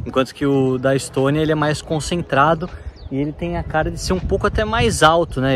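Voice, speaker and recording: A fairly high male voice at a fairly quick pace with ordinary pitch variation. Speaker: travel vlogger. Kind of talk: travel vlog narration. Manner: soft-spoken.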